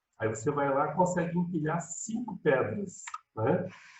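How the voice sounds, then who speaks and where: This man talks at a fairly slow pace with vocal fry. His pitch swings very widely. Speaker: high school chemistry teacher. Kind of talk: online lecture. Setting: video call. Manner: casual, conversational.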